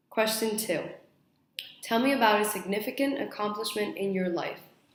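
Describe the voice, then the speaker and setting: The speech moves at a moderate pace with ordinary pitch variation. There is audible room echo. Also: woman, fairly high pitch for a woman. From mixed: Spain, Mexico, Australia, Saudi Arabia, then US. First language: Spanish. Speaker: university student. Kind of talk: mock job interview answers.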